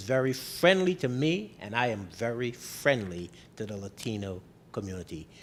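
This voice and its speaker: In a Barbadian accent, the speaker talks at a moderate pace with very wide pitch swings on a very clean recording with a silent background. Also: man. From Barbados. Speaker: mayor. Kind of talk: interview.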